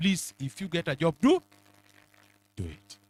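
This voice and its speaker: A somewhat breathy man at a fairly slow pace, recorded dry and close with no echo. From Kenya, Nyanza (Luo). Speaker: mentorship speaker, senior professional. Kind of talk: motivational talk. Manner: interactive call-and-response questions.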